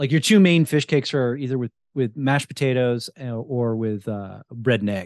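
At a moderate pace, a plain, everyday voice with an American accent speaks with ordinary pitch variation. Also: man, medium pitch for a man. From New Jersey. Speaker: podcast host and wild food cook. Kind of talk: casual interview chat.

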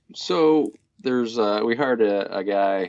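A fairly low-pitched man with a US Midwestern accent. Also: quiet background. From Kansas, US. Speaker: bicycle commuter. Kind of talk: interview.

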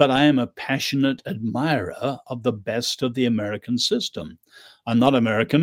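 A man speaks in an English accent. The recording is very clean, with a silent background. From England. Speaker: author and social critic. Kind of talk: interview.

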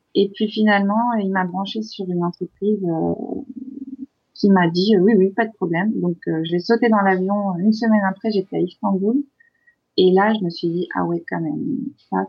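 Somewhat breathy and at medium pitch, a woman speaks at a fairly slow pace with ordinary pitch variation. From France. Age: 30s. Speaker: expatriate in Turkey. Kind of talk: interview.

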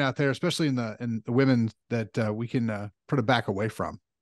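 A man is recorded with a dry, close sound with no echo over a quiet background. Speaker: podcast host. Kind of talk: casual interview chat.

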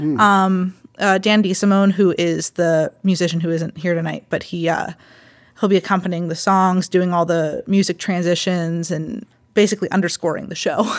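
Fairly even intonation at a moderate pace, with a Western Pennsylvania accent. The recording is very clean, with a silent background. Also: woman, medium pitch for a woman. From Pittsburgh area, Pennsylvania. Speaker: theater director. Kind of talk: interview.

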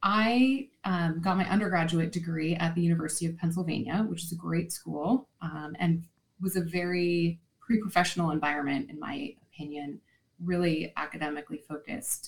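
At a moderate pace, this somewhat breathy voice moves with ordinary pitch variation. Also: woman, fairly low pitch for a woman. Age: 40s. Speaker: marketing executive and children's author. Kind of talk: interview.

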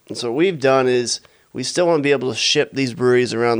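A man's medium-pitched voice at a very fast pace. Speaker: brewer and entrepreneur. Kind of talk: casual interview.

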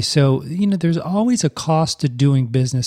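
In an American accent, a man talks at a fairly quick pace with a fairly high pitch, a somewhat breathy, dark, mellow tone and lively intonation. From US South. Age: 40s. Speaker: podcast host, speech-language pathologist. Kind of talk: casual solo podcast monologue.

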